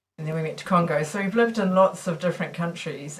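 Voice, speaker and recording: The speaker is a woman. She talks with a New Zealand accent. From New Zealand, Auckland. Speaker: missiologist and mission worker. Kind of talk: podcast interview. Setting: recording studio.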